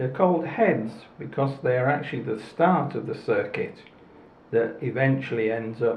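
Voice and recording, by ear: A man speaks at a fairly slow pace, at a medium pitch, with vocal fry. Strong echo fills the room.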